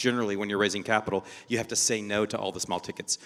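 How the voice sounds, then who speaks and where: A man's fairly low voice in an American accent, bright and sharp in tone. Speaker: venture investor. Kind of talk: panel discussion. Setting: stage with audience.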